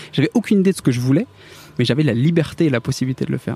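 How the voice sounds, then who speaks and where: A man is speaking. His tone is dark and mellow. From northern France, Picardy. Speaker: tech employee who made a fortune from shares. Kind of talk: interview. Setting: café terrace.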